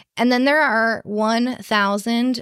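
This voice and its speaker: Dry and close with no echo, an ordinary speaking voice with an American accent comes through. It moves at a fairly slow pace with ordinary pitch variation. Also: woman. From US Midwest, Chicago. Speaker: small business owner, designer and illustrator. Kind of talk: interview.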